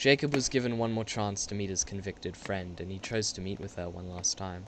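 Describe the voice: A man's low-pitched voice with a fairly bright tone, fairly even intonation and a fairly quick pace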